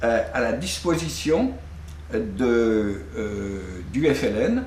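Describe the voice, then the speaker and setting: Very wide pitch swings against audible room echo. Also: man. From Brittany, France. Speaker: filmmaker. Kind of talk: interview. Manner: halting, many hesitations.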